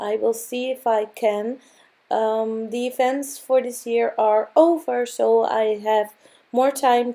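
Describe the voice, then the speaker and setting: A fairly high-pitched woman with a Dutch accent and a dark, mellow tone at a very slow pace, with ordinary pitch variation. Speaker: craft video creator. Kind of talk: tutorial. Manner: halting.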